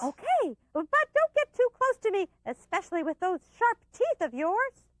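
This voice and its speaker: A cartoonish character voice from a woman, extremely high in pitch with very wide pitch swings, at a moderate pace, in a dry, close sound with no echo. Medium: puppet show. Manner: polite, eager.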